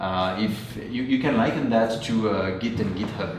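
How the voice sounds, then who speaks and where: Noticeable background noise and audible room echo fill the recording. Through it, a man with a French accent speaks at fairly low pitch. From France. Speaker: software engineer, conference speaker. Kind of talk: technical talk. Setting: meetup with audience. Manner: hesitant, many fillers.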